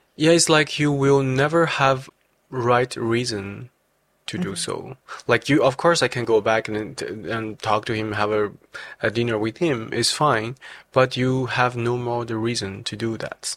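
Speaking with a Chinese accent, a man keeps to a fairly slow pace at a medium pitch with ordinary pitch variation. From China. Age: 20s. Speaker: bank risk validator. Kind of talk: casual interview. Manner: halting.

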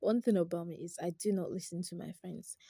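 A woman's somewhat breathy, dark, mellow voice at a medium pitch, fairly quick and flatly monotone, in a very clean, dry, close recording with a silent background and no echo. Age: 20s. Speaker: podcast host. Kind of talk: casual monologue.

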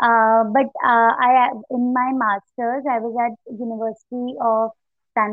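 This woman has a fairly high voice and fairly even intonation. Music plays in the background. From India. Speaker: coastal geographer. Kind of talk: interview. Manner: hesitant with fillers.

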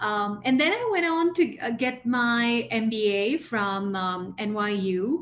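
Speaking very slowly with an American accent, a woman uses lively intonation at a fairly high pitch over noticeable background noise. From grew up abroad, mostly in the US (New York). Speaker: leadership and mindfulness coach. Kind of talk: interview.

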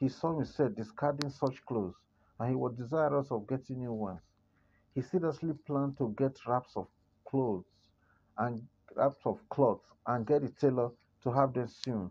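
With long, frequent pauses, a man speaks at a moderate pace and medium pitch in a dark, mellow tone with ordinary pitch variation. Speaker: story narrator. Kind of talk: literary story reading, scripted narration in an even storyteller's cadence. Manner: measured, formal, steady.

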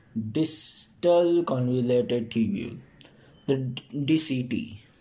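This is a man with a medium-pitched voice. Some echo from the room can be heard. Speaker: student study podcaster. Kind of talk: reading aloud textbook summary. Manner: halting with fillers.

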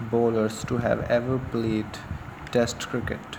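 A man speaks at a medium pitch. Noticeable background noise sits behind him. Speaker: cricket enthusiast narrator. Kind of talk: informal monologue tribute.

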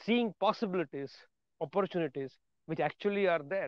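A man with an Indian accent speaks with fairly even intonation. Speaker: motivational podcaster. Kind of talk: motivational monologue.

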